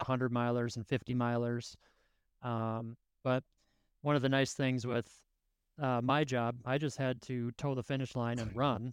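Here a man speaks at a medium pitch in a monotone, flat intonation. He leaves long, frequent pauses. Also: moderate pace, dry, close sound with no echo. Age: 30s. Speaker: ultrarunner. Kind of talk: casual chat.

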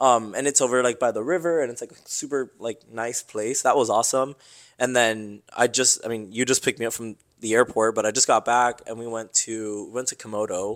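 Fairly quick and fairly even in intonation, a man speaks at medium pitch in a plain, everyday voice. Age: 20s. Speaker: engineer. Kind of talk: casual chat.

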